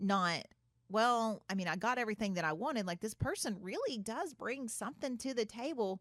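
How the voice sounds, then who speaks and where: With lively intonation, a woman talks fairly quickly in a fairly high voice. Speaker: podcast host. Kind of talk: casual chat. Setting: studio. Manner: loud.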